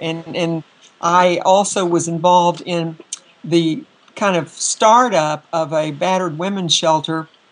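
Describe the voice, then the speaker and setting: Over noticeable background noise, a woman with an American accent speaks at a fairly slow pace in a fairly low voice. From North Texas. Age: 70s. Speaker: feminist activist, oral history interviewee. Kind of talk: oral history interview. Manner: halting, many fillers.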